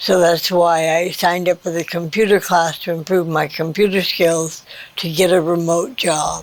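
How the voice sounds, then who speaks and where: A woman speaks at a moderate pace in a fairly low pitch, her intonation flat and monotone, with noticeable background noise behind her. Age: 70s. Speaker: senior center student. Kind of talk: interview.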